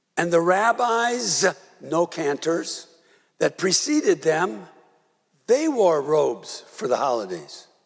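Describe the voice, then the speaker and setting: A man speaks at a very slow pace. He leaves long, frequent pauses. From US Midwest, Milwaukee. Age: 80s+. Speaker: rabbi. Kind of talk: sermon. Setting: synagogue service. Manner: conversational, halting.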